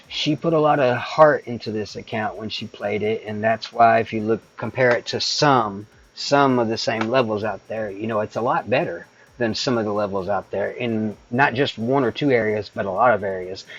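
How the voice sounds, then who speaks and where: Hardly pausing, a man speaks at medium pitch with ordinary pitch variation. There is noticeable background noise. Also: moderate pace. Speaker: gaming streamer. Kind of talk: live stream tutorial. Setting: live stream. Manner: casual, hesitant.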